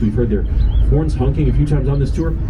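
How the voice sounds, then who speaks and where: Speech rushes by at a very fast pace, with audible room echo and noticeable background noise. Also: man. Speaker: tour guide. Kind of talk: guided tour commentary. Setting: outdoors on a river boat.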